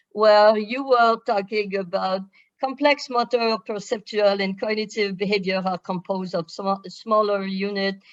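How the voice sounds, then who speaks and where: Talking at a fairly slow pace, a woman with a French accent has a fairly high pitch. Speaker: professor, webinar co-chair. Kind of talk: panel discussion moderation.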